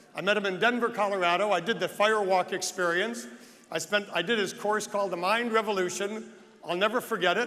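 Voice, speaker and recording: A man with an American accent talks in a raised, projected voice at a very fast pace, high in pitch, with a bright, sharp tone and fairly even intonation. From United States. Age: 60s. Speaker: real estate agent and conference speaker. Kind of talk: motivational speech. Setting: stage with audience.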